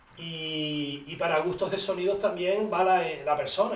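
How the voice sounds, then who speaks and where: A man's fairly even intonation amid audible room echo and noticeable background noise. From Canary Islands, Tenerife (La Orotava). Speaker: instrument maker. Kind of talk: interview. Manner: halting.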